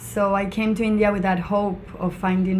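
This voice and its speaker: Against noticeable background noise, a woman with a Spanish accent speaks at a moderate pace in a monotone, flat intonation. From Venezuela, Mérida (Andes). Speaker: charity founder. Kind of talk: interview.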